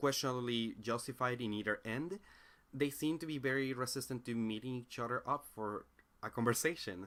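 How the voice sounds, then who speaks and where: Someone with a non-native accent speaks at a moderate pace with ordinary pitch variation on a very clean recording with a silent background. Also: man. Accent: noticeable non-native accent in English. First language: Spanish. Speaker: philosophy commentator. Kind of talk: monologue commentary. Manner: halting, with frequent fillers and restarts.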